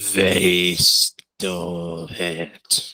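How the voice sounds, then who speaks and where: A man puts on a croaky character voice with a very deep, low pitch and monotone, flat intonation. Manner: slow, repeating.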